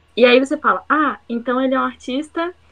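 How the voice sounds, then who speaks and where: Delivered at a fairly slow pace with fairly even intonation, this is an ordinary speaking voice. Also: woman. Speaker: university student, podcast co-host. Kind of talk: casual chat.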